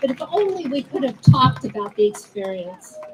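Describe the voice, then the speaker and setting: Over noticeable background noise, a speaker with an American accent uses very wide pitch swings at a moderate pace. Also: woman. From New Jersey. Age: 70s. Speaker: activist speaking at a political rally. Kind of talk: personal testimony at rally. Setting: outdoor rally with audience.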